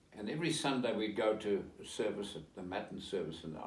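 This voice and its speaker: A man speaks at a fairly quick pace in a fairly low voice. The room echo is audible. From South Africa. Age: 80s+. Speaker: interviewee, relative of historical figure. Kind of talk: interview. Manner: halting.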